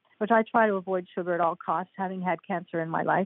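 At a fairly quick pace, the voice carries a slightly husky edge in a dry, close sound with no echo. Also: woman.

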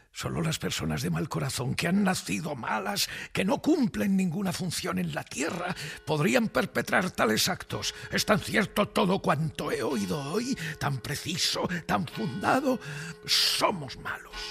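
In a put-on character voice, a man speaks at a fairly slow pace with few pauses, a high pitch, vocal fry, a fairly bright tone, and lively intonation, with faint music in the background.

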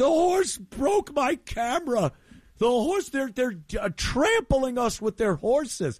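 A man shouting in a put-on character voice at an extremely high pitch and a very slow pace, on a very clean recording with a silent background. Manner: screaming, hysterical, mocking.

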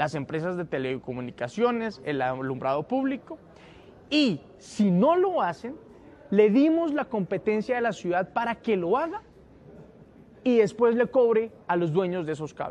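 Lively intonation marks this man's high-pitched voice, which carries a slightly mellow tone. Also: moderate pace.

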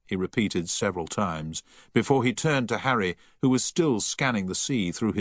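Lively intonation in a natural reading voice

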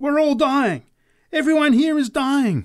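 Someone shouts in a put-on character voice. The pace is moderate. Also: man. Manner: screaming, hypnotic, prophetic.

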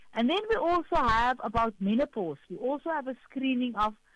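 A woman speaks at a fairly quick pace with lively intonation. Her pitch is fairly high.

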